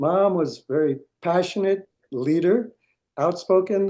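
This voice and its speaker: With a dark, mellow tone, a man talks at a fairly slow pace and with ordinary pitch variation. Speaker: pop-rock singer and producer. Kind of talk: interview. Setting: podcast interview.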